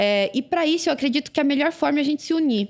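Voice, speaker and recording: A woman talks at a very fast pace. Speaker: Paralympic sprinter. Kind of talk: podcast interview. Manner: animated.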